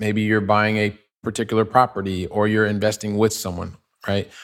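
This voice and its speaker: A man's fairly low voice at a fairly quick pace. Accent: Midwestern US. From US Midwest (Ohio). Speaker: real estate investor. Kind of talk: interview. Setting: remote call.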